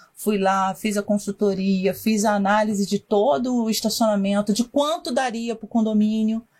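Her fairly high, somewhat breathy voice moves at a moderate pace with ordinary pitch variation and hardly any pauses, and the woman is heard in a very clean recording against a silent background. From Rio de Janeiro, Brazil. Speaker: parking industry consultant. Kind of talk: casual interview.

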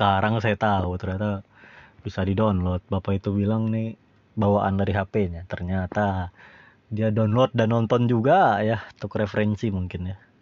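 The delivery moves at a moderate pace. Its intonation stays flat and monotone. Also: man, fairly low pitch for a man. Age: 20s. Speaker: solo podcaster. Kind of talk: casual monologue. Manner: rambling, self-correcting.

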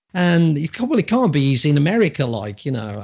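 A man with an English accent. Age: 50s. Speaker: public speaker and coach. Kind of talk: casual interview chat.

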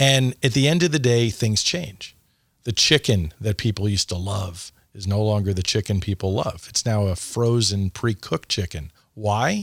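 In an American accent, a man with a fairly low pitch and lively intonation speaks at a moderate pace, somewhat breathy, in a dry, close sound with no echo on a very clean recording with a silent background. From US Northeast. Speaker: franchising consultant. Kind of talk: casual interview. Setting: studio.

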